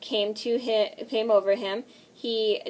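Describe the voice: What we hear is plain reading aloud.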